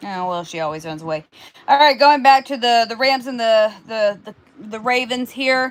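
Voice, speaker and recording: Her pitch is high and her intonation lively as this woman talks at a fairly slow pace. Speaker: sports predictions co-host. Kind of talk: casual sports chat. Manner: stuttering, repeating words.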